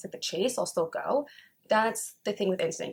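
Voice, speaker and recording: A woman with a medium-pitched, somewhat breathy voice speaks in an animated tone. Her pitch varies an ordinary amount. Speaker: tarot reader. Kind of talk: casual tarot reading monologue. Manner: fast.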